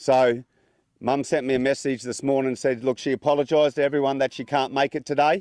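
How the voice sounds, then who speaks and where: Very fast and monotone, a man with an Australian accent speaks in a fairly high pitch, the sound dry and close with no echo. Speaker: son giving funeral welcome. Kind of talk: funeral speech. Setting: funeral with audience. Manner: halting.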